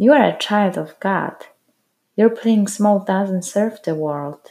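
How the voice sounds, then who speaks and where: A woman's dark, mellow tone at medium pitch, with ordinary pitch variation and a fairly slow pace. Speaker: co-host interviewer. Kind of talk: casual conversational podcast chat, reading a quote aloud.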